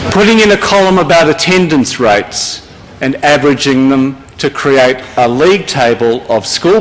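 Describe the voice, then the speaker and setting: A man with an Australian accent speaks with lively intonation. His pace is moderate, with noticeable background noise behind him. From Victoria, Australia. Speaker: school principals' representative. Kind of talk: speech to an audience. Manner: formal.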